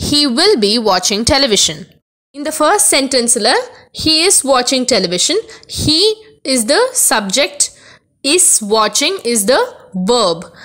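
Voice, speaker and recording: A woman's high-pitched voice, bright and sharp in tone, with very wide pitch swings. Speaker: English grammar teacher. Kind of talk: lecture.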